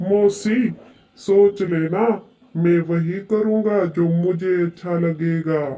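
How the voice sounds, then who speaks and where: A cartoonish character voice sits at a middle pitch. It moves at a very slow pace. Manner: sly, self-assured.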